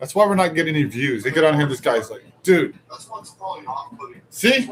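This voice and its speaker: Over music in the background, a man speaks at a fairly quick pace in a fairly high pitch, with very wide pitch swings and big swings in loudness. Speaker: live show host. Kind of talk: casual live stream chat.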